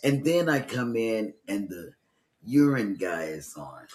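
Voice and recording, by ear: The voice has a slightly mellow tone and big pitch swings. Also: man, fairly low pitch for a man, fairly slow pace.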